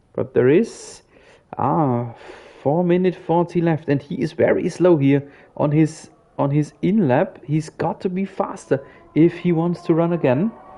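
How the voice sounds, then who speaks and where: With a German accent, a man speaks at a fairly slow pace in a high-pitched, dark, mellow tone with ordinary pitch variation. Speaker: sim racing commentator. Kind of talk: live commentary. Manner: animated.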